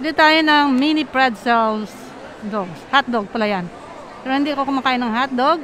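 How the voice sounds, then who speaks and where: A woman with a Filipino accent talks at a fairly quick pace in a high pitch with ordinary pitch variation. The sound is dry with no echo, and there is light background noise. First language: Tagalog. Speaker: travel and food vlogger; vlogger customer. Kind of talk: casual vlog narration. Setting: shopping mall. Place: shop. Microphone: phone near.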